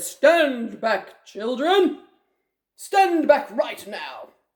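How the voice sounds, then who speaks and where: A put-on character voice, pitched high and delivered at a very slow pace. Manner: shouting a command.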